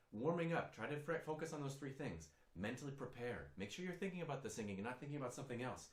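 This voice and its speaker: A man's very fast speech with lively intonation, audible room echo and noticeable background noise. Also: fairly high pitch for a man. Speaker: singing teacher. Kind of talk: tutorial.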